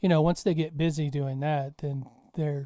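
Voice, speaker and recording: This speaker is soft-spoken. The delivery keeps a moderate pace. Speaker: art teacher. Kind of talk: podcast conversation.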